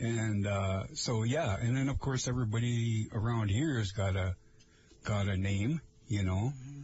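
Here a man with an American accent speaks at medium pitch and a moderate pace. His voice is somewhat breathy, with ordinary pitch variation. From Lake Vermilion area, northern Minnesota. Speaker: radio host. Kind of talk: casual chat. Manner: halting, many fillers.

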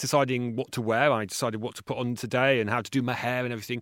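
A man with a southern English accent at a very fast pace, in a dry, close sound with no echo. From southern England. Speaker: acoustics professor and author. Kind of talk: interview. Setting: remote call from university.

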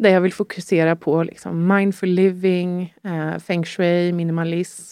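In a dry, close sound with no echo, a woman speaks slowly-ish at a fairly low pitch with a dark, mellow tone. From Sweden, Stockholm area. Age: 30s. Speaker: guest sharing life story. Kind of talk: personal testimony in interview. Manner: hesitant, many fillers.

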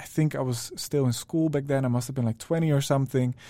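Here a man speaks with a Dutch accent and a dark, mellow tone. His pitch is fairly high and his intonation fairly even. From Netherlands. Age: 20s. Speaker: music producer. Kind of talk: casual chat.

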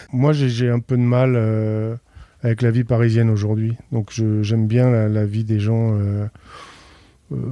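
A man with a medium pitch speaks at a very slow pace, leaving long, frequent pauses. His intonation is flat and monotone, and his loudness stays very even. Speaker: chef. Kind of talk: interview. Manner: halting.

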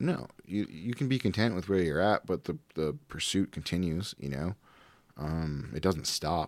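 Speaking at a fairly slow pace, a man has a very deep, low pitch. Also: lively intonation. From Providence, Rhode Island. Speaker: cannabis lab director and jiu-jitsu competitor. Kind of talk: casual interview chat. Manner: halting, many fillers.

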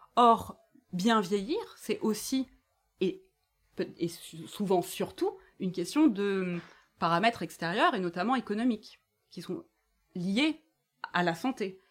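A woman speaks at a very slow pace with long, frequent pauses, medium pitch and lively intonation, in a very clean recording with a silent background. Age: 40s. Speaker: author and activist. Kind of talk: live bookshop talk.

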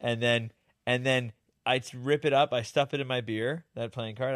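A man with a plain, everyday voice speaks at a medium pitch and a moderate pace. The recording is very clean, with a silent background. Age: 30s. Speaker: podcast host, magician and YouTuber. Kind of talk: casual chat.

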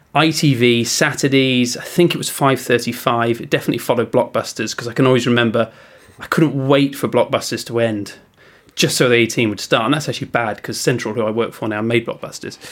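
Speaking very fast, a man holds a medium pitch with fairly even intonation. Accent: English. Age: 40s. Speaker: TV news presenter. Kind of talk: casual chat.

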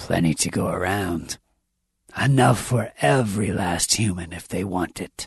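Using a put-on character voice, a man talks at a moderate pace in a very deep, low, raspy register. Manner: accommodating.

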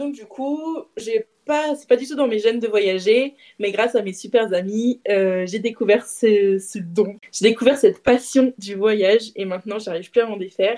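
Dark, mellow tone at a fairly slow pace, with big swings in loudness. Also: woman, fairly high pitch for a woman, ordinary pitch variation. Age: 20s. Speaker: self-employed friend of the host, guest. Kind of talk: casual storytelling game.

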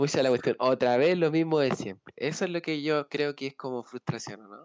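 A man with a normal speaking voice talks at a moderate pace, fairly high in pitch with ordinary pitch variation. His loudness swings widely, and the sound is dry and close with no echo. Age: 20s. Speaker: podcast co-host, university student. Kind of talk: casual chat.

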